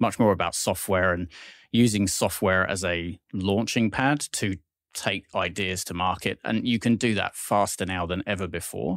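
The voice shows ordinary pitch variation in a very clean recording with a silent background and a dry, close sound with no echo. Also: man, very deep, low pitch for a man, moderate pace. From southwest England. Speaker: tech executive. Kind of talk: interview. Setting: studio.

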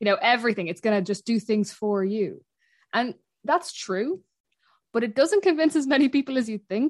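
The speaker has a Dublin accent and very wide pitch swings at a moderate pace. The sound is dry and close, with no echo. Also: woman, fairly high pitch for a woman. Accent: Dublin Irish. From Ireland, North Dublin. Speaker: woodland charity worker and podcaster. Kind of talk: casual interview.

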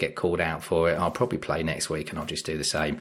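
This man talks at a very fast pace. He speaks with an English accent. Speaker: football podcast panelist. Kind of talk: casual chat.

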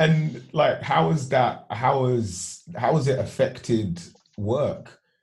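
With vocal fry and very even loudness, a man at medium pitch speaks at a very slow pace with lively intonation. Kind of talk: casual interview chat. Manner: friendly, informal, upbeat.

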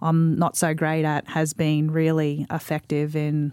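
The voice has a dark, mellow tone and monotone, flat intonation. The sound is dry and close with no echo, in a very clean recording with a silent background. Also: woman. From Australia, Mackay, Queensland. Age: 40s. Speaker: sports administrator and former rugby league player. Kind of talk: casual interview.

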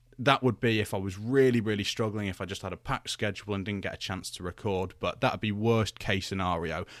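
On a very clean recording with a silent background, a man with a British accent talks at a fairly quick pace. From UK. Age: 20s. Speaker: wrestling podcast host. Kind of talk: solo podcast commentary. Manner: casual, conversational with fillers.

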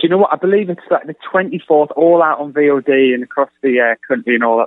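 With an English accent, a man speaks at a fairly quick pace and a fairly high pitch. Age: 30s. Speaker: film director. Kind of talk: radio interview.

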